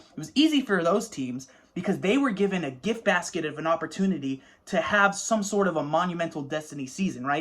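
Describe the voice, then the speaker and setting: A man speaks with lively intonation. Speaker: sports fan. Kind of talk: casual talk to camera. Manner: fast.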